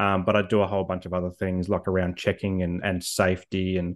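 Against a quiet background, a man speaks in a fairly low voice. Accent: Australian. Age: 30s. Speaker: mental health advocate. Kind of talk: interview.

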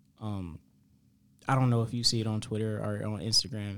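In a very clean recording with a silent background, a man speaks at a moderate pace and medium pitch with monotone, flat intonation. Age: 20s. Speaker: podcast host. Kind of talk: casual chat.

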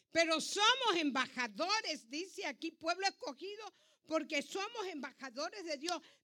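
In a raised, projected voice, a woman speaks at a fairly slow pace with an extremely high pitch. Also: lively intonation. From Ecuador. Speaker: pastor. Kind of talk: sermon.

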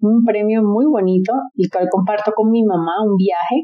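Her intonation is fairly even. The woman's voice has a medium pitch. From Colombia, Barranquilla (Caribbean coast). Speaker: event decorator and entrepreneur. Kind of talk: interview. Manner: halting, frequent word repetitions.

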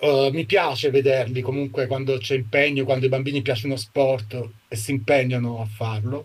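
Somewhat breathy, a man at medium pitch talks at a moderate pace with fairly even intonation. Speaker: film colorist. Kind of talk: interview. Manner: halting.

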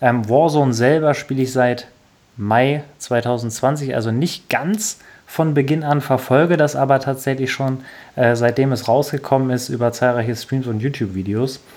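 A man has an unremarkable speaking voice at a medium pitch. He moves at a moderate pace with ordinary pitch variation. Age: 20s. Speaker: podcast host, gamer. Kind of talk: casual chat.

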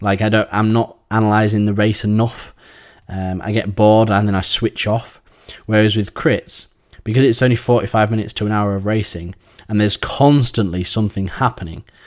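With an English accent, a man talks at a fairly quick pace, his fairly low pitch held in fairly even intonation. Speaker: cycling coach and podcast host. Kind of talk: solo podcast monologue. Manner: halting with many fillers.

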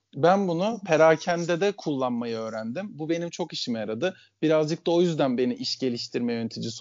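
In an unremarkable speaking voice, a man talks at a fairly quick pace with hardly any pauses, lively intonation and a fairly high pitch. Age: 30s. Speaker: country manager. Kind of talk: casual interview.

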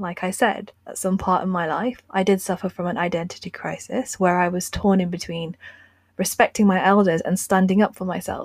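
A woman talks at a moderate pace with a British accent. Her voice is somewhat breathy, medium in pitch, with fairly even intonation. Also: big swings in loudness. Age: 20s. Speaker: podcast host. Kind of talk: scripted narration.

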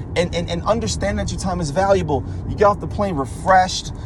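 Noticeable background noise surrounds this recording. A man speaks at a moderate pace in an intense tone. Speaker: motivational ranter. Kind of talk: angry rant, profane and preachy, scolding the listener about money and mindset. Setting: solo voice memo recording into a mic. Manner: animated, lecturing and blunt.

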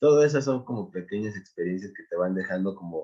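Speaking at a moderate pace, this man has an ordinary speaking voice. His pitch is fairly low, with ordinary pitch variation. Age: 20s. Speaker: DJ and music producer. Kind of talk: casual chat.

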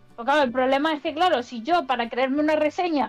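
A woman's high-pitched voice at a fairly quick pace with ordinary pitch variation, amid noticeable background noise. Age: 20s. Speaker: AI guest speaker. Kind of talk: casual chat.

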